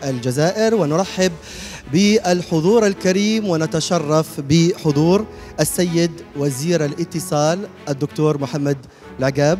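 A man at a fairly slow pace with ordinary pitch variation, faint music in the background. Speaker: event host. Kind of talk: ceremonial welcome address. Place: hall. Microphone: handheld.

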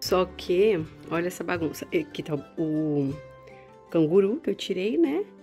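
Faint music can be heard in the background. A woman talks at a fairly slow pace. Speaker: mother vlogger. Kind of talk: casual vlog chat. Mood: warm, affectionate.

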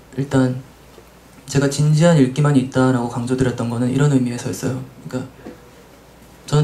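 A man talks at a very fast pace with monotone, flat intonation. Light background noise can be heard. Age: young. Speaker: translator. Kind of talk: panel discussion. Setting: live event with audience. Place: shop. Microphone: handheld.

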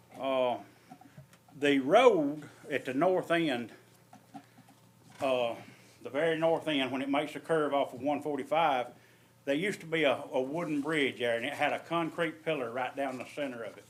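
At a moderate pace, a man with an Alabama accent speaks at a fairly high pitch with ordinary pitch variation and long, frequent pauses. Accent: Southern US (Alabama). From US South, Alabama. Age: 60s. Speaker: resident speaking at public comment. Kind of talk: public comment at county meeting. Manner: halting, many fillers.

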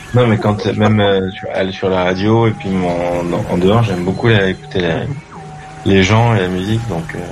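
Over music in the background and with audible room echo, a man speaks at a moderate pace in a fairly low pitch with fairly even intonation. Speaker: radio caller. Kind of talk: radio call-in chat. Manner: sleepy, low energy.

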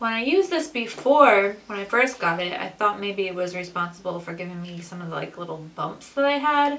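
A woman at a fairly quick pace, with hardly any pauses and big swings in loudness. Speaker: beauty vlogger. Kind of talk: makeup tutorial chat. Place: home room. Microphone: camera far.

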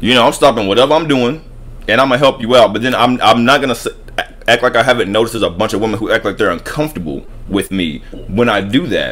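A man rattles along at a very fast pace while noticeable background noise plays behind him. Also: medium pitch for a man, ordinary pitch variation. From US South. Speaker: YouTube talk show host. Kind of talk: casual chat.

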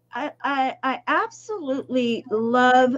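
A woman with a high pitch speaks in an enthusiastic tone. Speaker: show host. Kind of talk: interview. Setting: live video stream. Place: home room.

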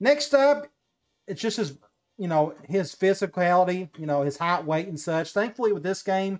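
The man speaks at a high pitch and a moderate pace. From Tennessee. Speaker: gaming YouTuber. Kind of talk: tutorial. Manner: casual.

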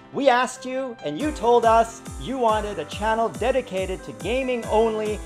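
Fairly slow speech over clear music in the background. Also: man. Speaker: channel network host. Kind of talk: promotional announcement.

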